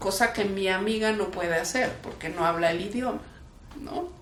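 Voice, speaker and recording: The voice has ordinary pitch variation, heard with noticeable background noise and audible room echo. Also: woman. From Mexico (left Kraków, Poland at 11). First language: Polish (speaking Spanish). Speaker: human rights defender. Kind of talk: interview. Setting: museum talk. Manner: casual, with frequent fillers.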